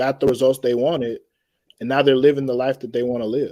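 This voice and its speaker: With an American accent, the voice has a dark, mellow tone and fairly even intonation. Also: man. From Atlanta, Georgia, US South. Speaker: podcast guest. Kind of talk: panel discussion. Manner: slow.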